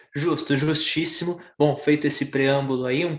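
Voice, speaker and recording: Here a man talks with a normal speaking voice at a moderate pace. His pitch is fairly high and his intonation fairly even. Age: 20s. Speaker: podcast host. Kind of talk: casual chat.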